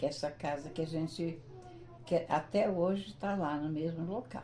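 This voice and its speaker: Her intonation rises and falls in a lively way. Background noise is clearly audible. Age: 70s. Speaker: retired teacher, local pioneer. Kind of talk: interview. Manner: hesitant, with fillers.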